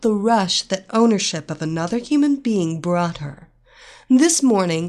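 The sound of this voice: Reading in an unforced voice, the speaker keeps the intonation lively.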